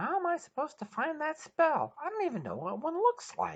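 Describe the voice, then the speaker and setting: A put-on character voice, high and squeaky, moves at a fairly quick pace. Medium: read story.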